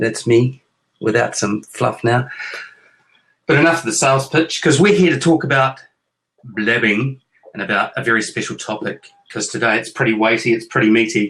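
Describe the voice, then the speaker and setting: A man with a New Zealand accent talks at a moderate pace in a medium pitch with ordinary pitch variation. Long, frequent pauses break up his speech. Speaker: author and parent hosting a chat show with his kids. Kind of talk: casual chat. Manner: playful, joking.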